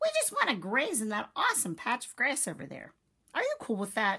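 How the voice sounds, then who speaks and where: A female-sounding voice in a put-on character voice talks at a fairly quick pace and a high pitch. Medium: read story. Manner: casual, slangy.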